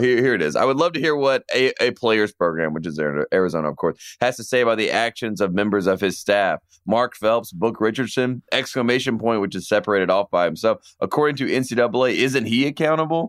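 In a Southern US accent, a man talks at a very fast pace with hardly any pauses and lively intonation, at a medium pitch. The recording is very clean with a silent background. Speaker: sports podcast co-host. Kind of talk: casual chat. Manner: mumbles.

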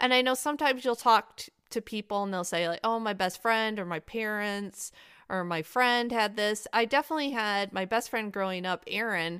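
A woman's fairly high voice with an American accent, bright and sharp in tone, with ordinary pitch variation and hardly any pauses. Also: moderate pace, very clean recording, silent background. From Michigan, US. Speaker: podcaster and Halloween enthusiast. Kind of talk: casual interview chat.

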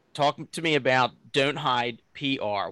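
With a Philadelphia accent, the speaker talks at a very slow pace in a bright, sharp tone with ordinary pitch variation. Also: man. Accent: Philadelphia-area. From Delaware County, near Philadelphia. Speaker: podcast interviewer. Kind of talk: interview.

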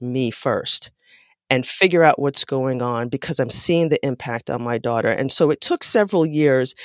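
Recorded very cleanly against a silent background with a dry, close sound and no echo, a woman speaks at a moderate pace. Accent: American. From US Northeast, New York City (South Bronx). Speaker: psychologist and parenting author. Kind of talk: interview.

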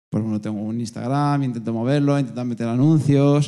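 With music in the background, a man speaks at a very fast pace, medium in pitch, his intonation fairly even. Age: 30s. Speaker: personal trainer, audience member. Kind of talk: audience testimony at live event.

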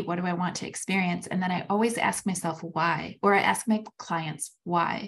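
With hardly any pauses, a woman speaks at a moderate pace in a medium, somewhat breathy voice whose pitch varies in an ordinary way. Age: 40s. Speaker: podcast co-host. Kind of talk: casual chat. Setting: call with co-host.

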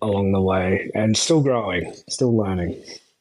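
In an Australian accent, a man speaks at a fairly slow pace. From Australia, outback (Mount Isa area). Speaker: adult content creator. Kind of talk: casual interview chat. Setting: remote call from Australia.

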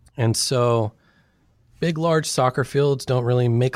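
Here is a man with an American accent. His pitch variation is ordinary. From Sacramento, California. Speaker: anthropologist and author. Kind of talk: interview.

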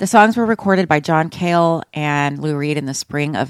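A woman with an American accent talks at a moderate pace in a very deep, low pitch, with ordinary pitch variation. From Austin, Texas. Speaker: podcast host. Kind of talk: casual chat.

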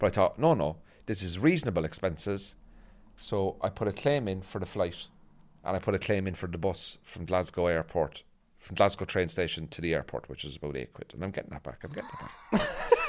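Against a silent background on a very clean recording, a man with a very deep, low pitch speaks with lively intonation and big swings in loudness. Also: fairly quick pace. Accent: Northern Irish. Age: 40s. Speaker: comedian. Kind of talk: casual chat.

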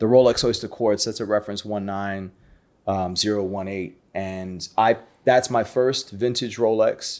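A man with an American accent and an unremarkable speaking voice talks fairly slowly at a fairly low pitch with fairly even intonation. The recording is very clean, with a silent background. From New York City (Brooklyn). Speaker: watch collector, community founder. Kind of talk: casual chat.

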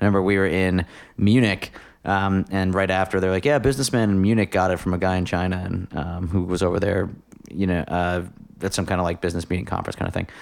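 On a very clean recording with a silent background, a man with a very deep, low pitch talks at a very fast pace with fairly even intonation. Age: 30s. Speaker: podcast host and guitarist. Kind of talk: casual chat. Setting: home recording.

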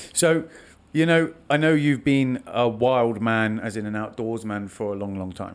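With a normal speaking voice, a man talks at a fairly slow pace and medium pitch, showing ordinary pitch variation. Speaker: podcast host. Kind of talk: casual chat. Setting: studio. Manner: joking, talkative.

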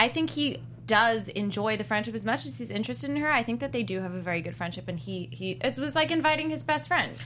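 Over noticeable background noise, the speech races at a very fast pace with hardly any pauses. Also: woman. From South Africa. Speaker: TV after-show panelist. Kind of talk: casual chat.

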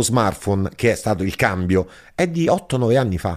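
On a very clean recording with a silent background, a man goes at a fairly slow pace with very wide pitch swings. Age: 40s. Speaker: stand-up comedian. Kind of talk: casual chat.

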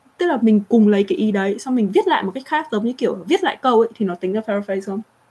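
Somewhat breathy and fairly high-pitched, a woman speaks at a very fast pace with very wide pitch swings. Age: 30s. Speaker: livestream host. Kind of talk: casual livestream chat. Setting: livestream.

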